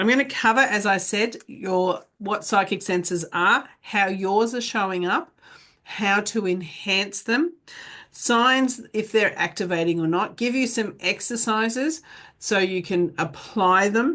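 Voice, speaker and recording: A woman speaks at a fairly slow pace with a medium pitch and ordinary pitch variation. Hers is an unremarkable speaking voice, set against a quiet background. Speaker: psychic medium teacher. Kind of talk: online class lecture. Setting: pre-recorded video class.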